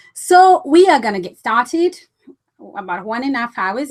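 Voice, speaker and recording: With very wide pitch swings and an animated tone, a woman speaks in a non-native accent. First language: not English. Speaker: business coach. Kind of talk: webinar presentation. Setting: online webinar.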